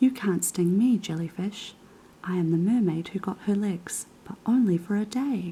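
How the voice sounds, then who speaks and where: A soft-spoken woman's medium-pitched voice at a fairly slow pace, with noticeable background noise. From New Zealand. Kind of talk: children's book reading.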